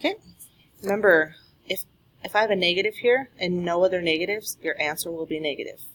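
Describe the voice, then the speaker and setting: A woman talks at a very fast pace, broken by long, frequent pauses. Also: medium pitch for a woman, ordinary pitch variation. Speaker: math teacher. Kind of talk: tutorial.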